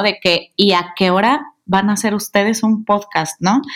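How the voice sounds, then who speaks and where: An unremarkable speaking voice at a fairly slow pace. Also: woman. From Mexico, Guadalajara. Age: 30s. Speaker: podcast co-host, communications consultant. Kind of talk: casual chat.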